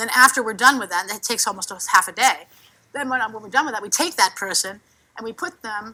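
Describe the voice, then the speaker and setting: Bright and sharp in tone, a woman speaks animatedly at a fairly high pitch with ordinary pitch variation. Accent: New York. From New York City. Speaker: cartoonist and workshop facilitator. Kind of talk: workshop presentation. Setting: conference workshop with audience. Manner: fast.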